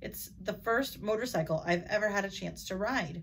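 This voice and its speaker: A woman puts on a raspy character voice at medium pitch and a moderate pace, with clear background noise. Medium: read story.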